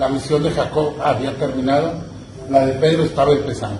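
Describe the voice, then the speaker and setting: Music plays in the background as a man speaks at a medium pitch and a moderate pace. There is audible room echo. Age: 60s. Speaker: pastor. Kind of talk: sermon.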